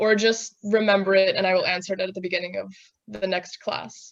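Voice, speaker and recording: A woman with a normal speaking voice talks at a fairly quick pace, her medium pitch held in fairly even intonation. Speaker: software instructor. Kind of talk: tutorial.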